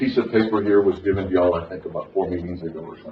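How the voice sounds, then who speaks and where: A man talks very fast, with audible room echo and noticeable background noise in the recording. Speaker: county judge chairing meeting. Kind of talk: public meeting discussion. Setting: courtroom meeting.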